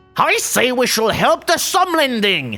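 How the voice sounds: A man speaks in a put-on character voice at a fairly slow pace. Faint music plays in the background.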